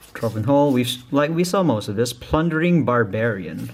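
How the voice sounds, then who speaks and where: A man with a non-native accent, at a moderate pace with lively intonation. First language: not English. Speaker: YouTuber opening card packs. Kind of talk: unboxing video. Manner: casual, halting.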